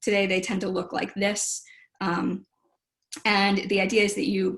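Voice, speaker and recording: A woman's medium-pitched voice with vocal fry. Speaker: historian of medicine. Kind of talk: lecture. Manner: fast.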